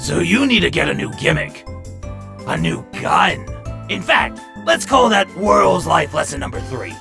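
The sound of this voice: A put-on character voice with vocal fry, a bright, sharp tone, big pitch swings and faint music in the background. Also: man, high pitch for a man, fairly slow pace.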